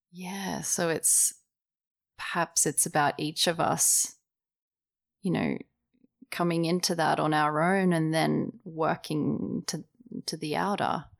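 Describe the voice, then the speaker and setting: A woman with very deep, low pitch and vocal fry speaks very slowly with long, frequent pauses and fairly even intonation on a very clean recording with a silent background. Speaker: podcast host and interviewer. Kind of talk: interview conversation.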